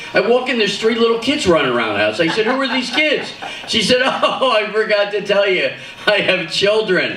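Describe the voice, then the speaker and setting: A man's high, raised and projected voice, animated in tone and in an East Coast American accent, at a fairly quick pace with ordinary pitch variation, plus audible room echo and noticeable background noise. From US East Coast, Philadelphia. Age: 60s. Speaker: comedian. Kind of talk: stand-up. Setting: stage with audience.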